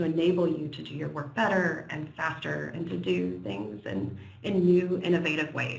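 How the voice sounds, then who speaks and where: Noticeable background noise runs beneath moderately paced speech in an American accent. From United States. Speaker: software company presenter. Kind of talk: webinar presentation. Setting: online webinar. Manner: hesitant, many fillers.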